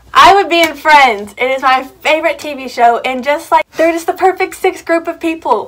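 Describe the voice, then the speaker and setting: A woman talks at a fairly quick pace with lively intonation. Noticeable background noise can be heard. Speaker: YouTuber. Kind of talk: casual chat. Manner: fast; mumbling.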